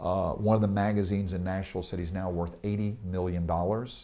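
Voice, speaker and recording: With a Tennessee accent, this man talks at a fairly quick pace, his fairly low pitch carrying a dark, mellow tone. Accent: Southern US (Tennessee). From Tennessee, US South. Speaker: real estate investor and speaker. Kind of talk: interview. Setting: in Israel. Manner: animated.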